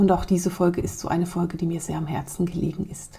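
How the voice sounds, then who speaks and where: A woman's fairly low, dark, mellow tone with vocal fry. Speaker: spiritual podcast host and coach. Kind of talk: podcast narration. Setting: studio.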